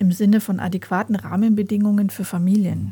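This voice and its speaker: A woman at a medium pitch sounds somewhat breathy, with a dark, mellow tone and monotone, flat intonation. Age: 40s. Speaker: podcast host and family coach. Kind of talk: solo podcast monologue.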